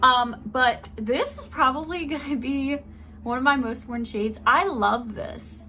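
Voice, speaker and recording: Over background music, the voice moves at a fairly slow pace with big swings in loudness. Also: woman, high pitch for a woman, ordinary pitch variation. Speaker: beauty vlogger. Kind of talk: product review with swatches. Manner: animated.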